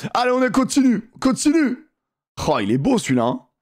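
A man speaks at a fairly slow pace with an animated tone. The background is quiet. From southern France (near Montpellier); southern France. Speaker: gaming streamer. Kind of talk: live gaming stream commentary. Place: home room. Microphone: headset.

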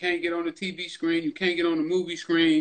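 Speaking at a moderate pace, a man uses a high pitch with ordinary pitch variation. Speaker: podcast host. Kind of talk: casual interview conversation. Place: home room. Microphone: video call.

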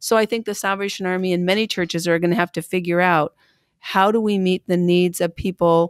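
A woman speaks with an American accent in a medium pitch. The sound is dry and close, with no echo. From US Pacific Northwest, Pendleton, Oregon. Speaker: Salvation Army officer and national treasurer. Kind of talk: interview.

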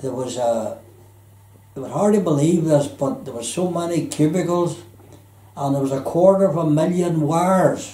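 A man with a Belfast accent, dark and mellow in tone, somewhat breathy, at a fairly slow pace with audible room echo. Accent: Belfast Northern Irish. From Belfast, Northern Ireland; Northern Ireland. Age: 80s+. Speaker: retired electrician and former merchant seaman; interviewee. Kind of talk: life story interview. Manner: halting, many fillers. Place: home room.

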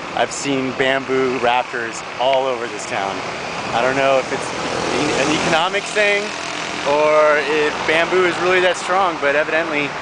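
A man at a moderate pace with ordinary pitch variation and long, frequent pauses, dry sound with no echo, and loud background noise. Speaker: travel vlogger. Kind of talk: casual vlog chat. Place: street. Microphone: phone near.

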